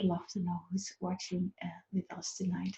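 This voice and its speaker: A woman speaks with a Dutch accent. Her pace is moderate. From Netherlands. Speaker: business coach. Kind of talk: live online talk. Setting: live stream. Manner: halting, many fillers.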